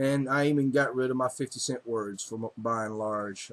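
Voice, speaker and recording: With an American accent, a man speaks at a medium pitch in a monotone, flat intonation. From US South. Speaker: video blogger. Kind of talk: casual monologue. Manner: halting, many fillers.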